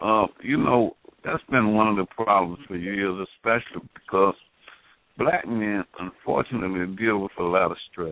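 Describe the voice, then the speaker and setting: An unremarkable speaking voice moves at a moderate pace with ordinary pitch variation. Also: man, fairly low pitch for a man. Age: 60s. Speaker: call-in participant on talk radio. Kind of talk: casual chat.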